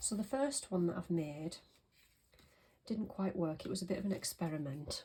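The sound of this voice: A woman speaks at a moderate pace with a fairly low pitch, ordinary pitch variation, a dark, mellow tone and a slightly husky edge.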